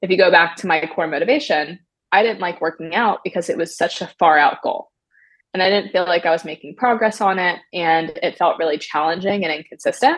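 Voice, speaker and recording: With a fairly low pitch and ordinary pitch variation, a woman talks at a fairly quick pace in an ordinary speaking voice. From US, Maryland. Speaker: app founder and CEO. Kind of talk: interview.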